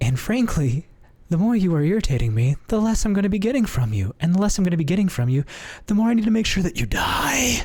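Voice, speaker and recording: Putting on a character voice, a man talks very fast, raspy and high-pitched, with very wide pitch swings and very even loudness. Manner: menacing, demonic.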